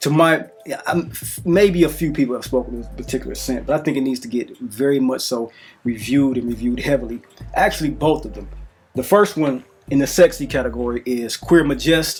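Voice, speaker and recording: A man's speech runs fairly quickly while music plays behind him. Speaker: fragrance reviewer. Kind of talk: product review monologue. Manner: halting.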